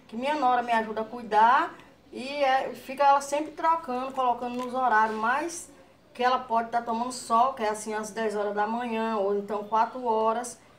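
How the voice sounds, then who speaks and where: Her high-pitched voice moves at a moderate pace, and the woman's intonation stays fairly even. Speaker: grandmother plant vlogger. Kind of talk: casual vlog; casual vlog chat. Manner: halting. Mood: warm, relaxed. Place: home room. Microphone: phone near.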